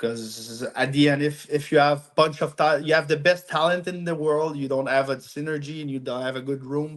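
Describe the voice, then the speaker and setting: With a French accent and a fairly high voice, a man speaks at a moderate pace with fairly even intonation and hardly any pauses. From Quebec, Montreal. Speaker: amateur hockey team captain. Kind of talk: podcast interview. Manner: halting.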